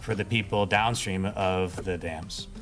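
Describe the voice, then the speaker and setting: There is music in the background. A man speaks over it at a moderate pace. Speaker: army engineer spokesperson. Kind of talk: official briefing.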